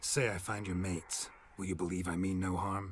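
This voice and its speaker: A man puts on a character voice at a fairly quick pace, growling in a very deep, low pitch. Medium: video game. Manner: terse, dry.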